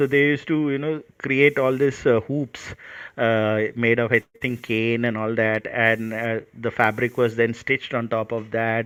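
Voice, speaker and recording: Speaking at a moderate pace, a man uses an ordinary speaking voice with medium pitch and ordinary pitch variation. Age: 60s. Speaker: startup community speaker. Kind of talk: panel discussion.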